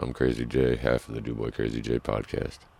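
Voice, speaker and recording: A man with a very deep, low pitch speaks over noticeable background noise. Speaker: podcast host. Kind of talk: casual solo podcast talk. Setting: truck stop. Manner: casual, profane.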